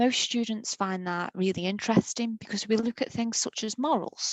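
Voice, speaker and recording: The woman has a normal speaking voice with a fairly high pitch. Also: dry, close sound with no echo. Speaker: college law teacher. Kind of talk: presentation to school pupils.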